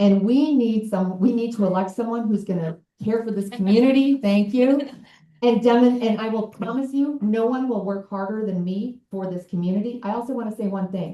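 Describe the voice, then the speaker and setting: Fairly quick and somewhat breathy, a woman speaks at a fairly high pitch with ordinary pitch variation. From southern Colorado. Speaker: congressional candidate. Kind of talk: campaign speech at a town hall.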